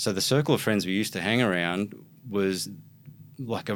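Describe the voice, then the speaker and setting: Against a silent background on a very clean recording, a man talks at a fairly quick pace with an Australian accent. His pitch is fairly low, with ordinary variation. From Brisbane, Australia. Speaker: hip-hop producer and DJ. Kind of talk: casual interview.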